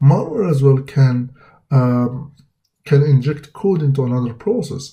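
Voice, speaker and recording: This man has a dark, mellow tone that is somewhat breathy, with a fairly high pitch. He talks at a moderate pace with ordinary pitch variation. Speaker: cybersecurity instructor. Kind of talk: lecture. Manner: halting, many fillers.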